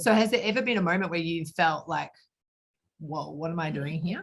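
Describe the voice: A woman with a fairly low pitch, vocal fry and a slightly husky edge talks at a moderate pace with ordinary pitch variation.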